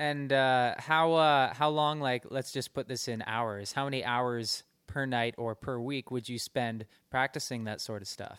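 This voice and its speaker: Medium in pitch, a man speaks with a plain, everyday voice at a fairly slow pace and fairly even intonation. The sound is dry and close with no echo, on a very clean recording with a silent background. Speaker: radio host. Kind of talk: casual interview. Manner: casual, conversational with fillers.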